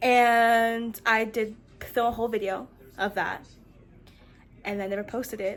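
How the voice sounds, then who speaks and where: With an American accent, a woman at a fairly high pitch speaks fairly slowly in a monotone, flat way, leaving long, frequent pauses. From US mid-Atlantic (DC/Maryland/Virginia area). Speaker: vlogger. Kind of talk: casual vlog. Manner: stutters.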